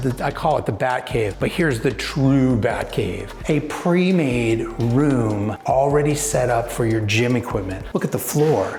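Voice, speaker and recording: An enthusiastic man's voice at medium pitch, with lively intonation, a fairly slow pace, hardly any pauses, and very even loudness, over audible room echo and background music. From California. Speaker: real estate agent. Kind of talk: home tour walkthrough. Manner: casual, enthusiastic.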